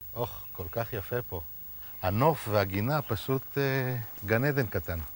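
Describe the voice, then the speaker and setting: A man speaks at a very slow pace in a somewhat breathy voice with lively intonation. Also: medium pitch for a man. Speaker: interviewer. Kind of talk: interview questions.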